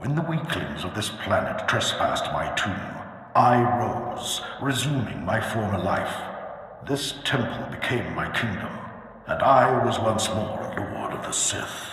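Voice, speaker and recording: Using a put-on character voice, a man talks at a medium pitch and a moderate pace. Strong echo surrounds the sound. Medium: machinima. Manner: grandiose, imperious.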